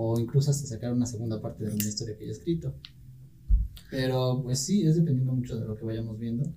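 Speaking at a very fast pace, a man with a dark, mellow tone sounds somewhat breathy, with ordinary pitch variation and audible room echo. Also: medium pitch for a man. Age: 20s. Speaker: university student. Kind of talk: casual chat.

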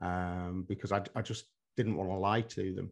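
Someone with an English accent speaks at a fairly slow pace. The background is quiet. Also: man. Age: 50s. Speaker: hypnotherapist and psychotherapist. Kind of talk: interview conversation.

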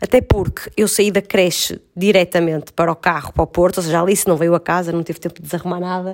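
This woman speaks at a very fast pace in a fairly low pitch, her intonation monotone and flat. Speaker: podcast co-host. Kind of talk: casual chat. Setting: at home on the sofa.

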